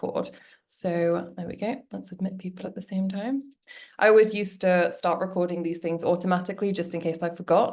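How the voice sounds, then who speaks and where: A woman with a British accent speaks at a fairly quick pace and medium pitch. Her intonation is fairly even while her loudness swings widely. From UK. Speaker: webinar host, business coach. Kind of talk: live webinar presentation. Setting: video call. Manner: casual, chatty.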